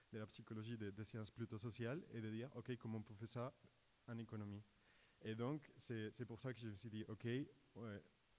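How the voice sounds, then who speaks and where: Speaking with a Colombian accent at a moderate pace, a man uses a medium pitch and a fairly even intonation. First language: Spanish (speaking French). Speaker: doctoral student in economics. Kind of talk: research presentation on stage. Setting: stage with audience. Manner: halting, many repetitions and fillers.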